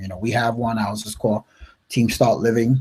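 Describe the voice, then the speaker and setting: A man with an American accent talks at a very fast pace in a dark, mellow tone. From upstate New York. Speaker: network marketing coach. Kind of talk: live webinar talk. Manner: casual, filler-heavy.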